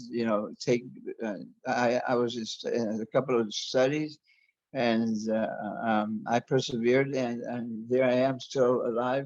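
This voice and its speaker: A man with an American accent speaks at a fairly slow pace and a medium pitch. His intonation is monotone and flat. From US Southwest, Arizona. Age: 60s. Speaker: interview guest, body modification enthusiast. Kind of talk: interview. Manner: halting, many repetitions and false starts.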